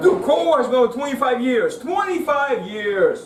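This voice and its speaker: Noticeable background noise and audible room echo surround a man talking fairly quickly. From Russia. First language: Russian. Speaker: stand-up comedian. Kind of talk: stand-up. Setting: stage with audience.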